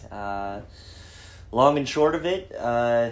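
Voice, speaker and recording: In an American accent, a man speaks at a very slow pace with audible room echo. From Idaho, US. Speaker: pastor. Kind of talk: personal testimony in a podcast chat. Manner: hesitant, many fillers.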